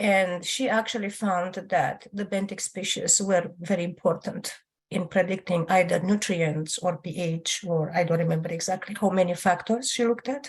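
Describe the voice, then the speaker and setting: A woman speaks at a medium pitch, her voice somewhat breathy. She hardly pauses, and her intonation stays fairly even. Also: moderate pace. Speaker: audience member asking question. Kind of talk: Q&A comment.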